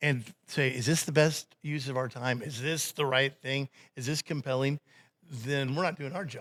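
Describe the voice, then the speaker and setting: This man has an unremarkable speaking voice at a fairly high pitch, talking at a moderate pace with fairly even intonation on a very clean recording with a silent background and a dry, close sound with no echo. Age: 50s. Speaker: radio host. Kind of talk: casual chat.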